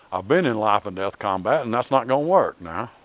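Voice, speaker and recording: This man talks in a Southern US accent at a medium pitch. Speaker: martial arts instructor. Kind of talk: tutorial. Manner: casual, conversational.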